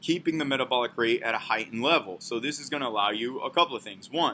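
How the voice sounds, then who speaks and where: A man speaks in a medium-pitched voice with ordinary pitch variation. His tone is bright and sharp. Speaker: fitness coach. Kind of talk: informal talk to camera. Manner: fast; casual, conversational.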